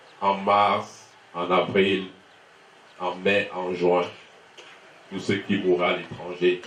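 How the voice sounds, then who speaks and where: A man talks very slowly in a very deep, low voice with flat, monotone intonation and long, frequent pauses, against noticeable background noise. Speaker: son of the deceased giving thanks. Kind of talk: funeral speech.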